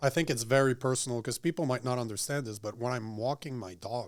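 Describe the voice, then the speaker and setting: A man with a French Canadian accent at medium pitch, very fast, with ordinary pitch variation. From Quebec, Montreal. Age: 40s. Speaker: political commentator. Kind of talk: casual chat. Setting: studio.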